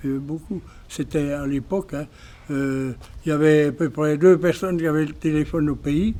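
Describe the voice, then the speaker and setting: A man with a fairly high voice. His tone is dark and mellow. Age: 80s+. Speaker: village elder. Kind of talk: testimony. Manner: halting.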